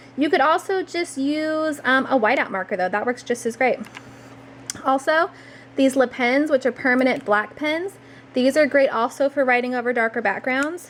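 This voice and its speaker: The delivery is moderately paced, with ordinary pitch variation and noticeable background noise. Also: woman, high pitch for a woman. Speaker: journaling crafts vlogger. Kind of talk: tutorial. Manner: casual, with many fillers.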